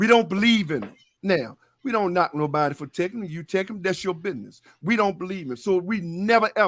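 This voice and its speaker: Talking at a fairly quick pace, a man with a high pitch and lively intonation comes through on a very clean recording with a silent background. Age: 60s. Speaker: sports talk panelist. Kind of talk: heated debate. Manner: animated.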